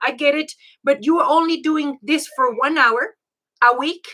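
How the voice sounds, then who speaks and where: The tone is bright and sharp. The voice is raised and projected. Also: woman. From Mexico. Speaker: life and health coach. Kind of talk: online class.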